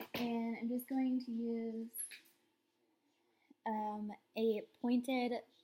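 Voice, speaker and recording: Very slow speech from a woman with a fairly high pitch. Her intonation is monotone and flat. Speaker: beauty vlogger. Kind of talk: makeup tutorial. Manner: casual, filler words.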